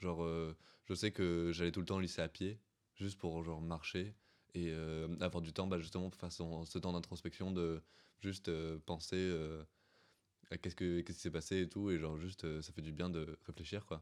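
On a very clean recording with a silent background, a man with a very deep, low pitch speaks in a monotone, flat way at a moderate pace, leaving long, frequent pauses. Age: young (18). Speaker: student. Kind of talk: casual chat.

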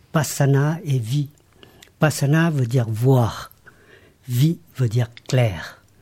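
Somewhat breathy and dark and mellow in tone, a man speaks at a very slow pace with ordinary pitch variation and long, frequent pauses. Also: medium pitch for a man. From Laos. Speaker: meditation teacher. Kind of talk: interview.

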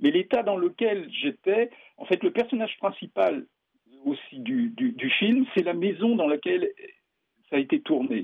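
A man with a high pitch talks at a fairly slow pace, his pitch swinging very widely between long, frequent pauses. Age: 60s. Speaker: experimental filmmaker. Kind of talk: interview. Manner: halting.

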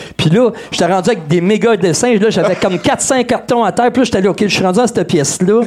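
A man talks very fast in a high voice, with hardly any pauses and ordinary pitch variation. His loudness is very even over noticeable background noise. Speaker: DJ and musician guest. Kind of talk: casual live show interview. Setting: live show with audience in a pub.

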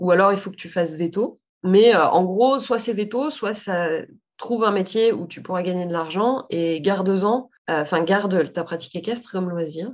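A woman with an ordinary speaking voice at a medium pitch, ordinary pitch variation, a moderate pace and big swings in loudness. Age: 30s. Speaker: saddle fitter and business owner. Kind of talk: casual interview.

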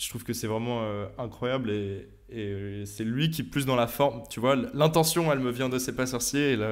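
The man's pitch is medium and varies in an ordinary way. He speaks at a moderate pace, with audible room echo. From France. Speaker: science YouTuber and physics student. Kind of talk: casual interview.

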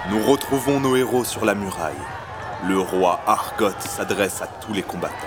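Against noticeable background noise, the speech moves at a fairly slow pace with ordinary pitch variation. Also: man, fairly low pitch for a man. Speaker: narrator of audio fiction. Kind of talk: dramatic narration of a fantasy audio drama, scripted storytelling. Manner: gripping, present-tense storytelling with rising tension, urgent and vivid.

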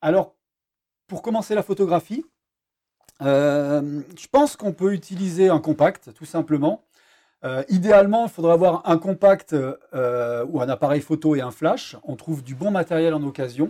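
A man's dark, mellow voice at a fairly high pitch, fairly slow, with lively intonation and big swings in loudness, in a dry, close sound with no echo. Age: 50s. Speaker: underwater photography instructor. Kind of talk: interview. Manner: hesitant, many fillers.

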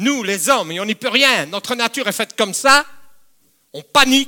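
In a very clean recording with a silent background, a man speaks at a moderate pace in a raised, projected voice with a bright, sharp tone and lively intonation. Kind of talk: sermon. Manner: animated, emphatic preacher with repeated phrases and direct appeals to the congregation.

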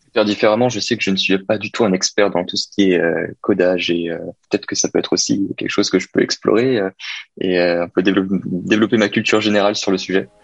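A man talks at a fairly quick pace in a fairly low pitch. The sound is dry and close, with no echo. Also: fairly even intonation. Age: 20s. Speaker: business student. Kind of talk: role-play interview. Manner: hesitant, repeating words.

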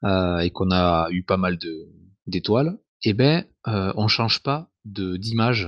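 Lively intonation marks a man's speech, recorded dry and close with no echo over a quiet background. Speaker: podcast co-host. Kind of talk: casual chat.

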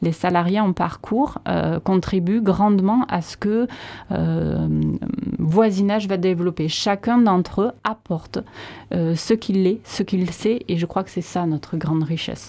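A woman talks at a fairly slow pace, her pitch medium with ordinary variation. Her tone is dark and mellow. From Landes, France. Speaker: association director. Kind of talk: radio interview. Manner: hesitant.

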